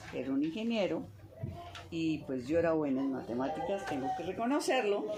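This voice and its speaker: Over noticeable background noise and audible room echo, a woman with a very deep, low pitch speaks at a moderate pace, her pitch swinging very widely. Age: 70s. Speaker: mathematician and professor. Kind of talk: interview.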